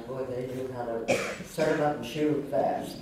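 In a room with strong echo and noticeable background noise, a woman speaks at a very deep, low pitch. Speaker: actress. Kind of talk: interview answer. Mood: warm, fond. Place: stage.

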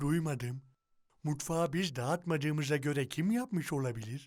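This is a cartoonish character voice. The pitch sits low-to-middle. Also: moderate pace. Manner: cheerful, giggly.

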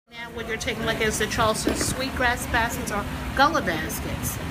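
A woman talking at a fairly quick pace over loud background noise. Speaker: sweetgrass basket maker. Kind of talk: explaining a craft to a visitor. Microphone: phone near.

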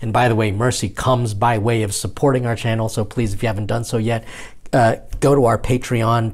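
A somewhat breathy male voice, flat and monotone, over a quiet background. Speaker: priest show host. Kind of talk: casual vlog chat. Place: home room. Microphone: lapel.

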